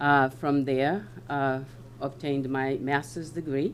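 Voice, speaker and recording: A woman speaks at a very deep, low pitch in a monotone, flat delivery. Her pace is fairly slow, and the room echo is audible. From West Africa. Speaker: local election candidate. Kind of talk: candidate statement at public forum. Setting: town hall meeting with audience. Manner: hesitant, many fillers.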